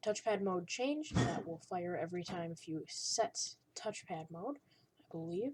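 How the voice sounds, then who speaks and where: At a fairly slow pace, a woman speaks at medium pitch with a somewhat breathy voice. Her pitch swings very widely and her loudness varies greatly. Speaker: coding tutorial maker. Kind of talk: tutorial. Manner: halting.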